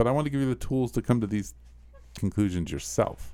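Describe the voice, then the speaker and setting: Talking at a very fast pace, a man uses vocal fry while his pitch swings very widely. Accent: American. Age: 50s. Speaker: pastor. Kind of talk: casual chat.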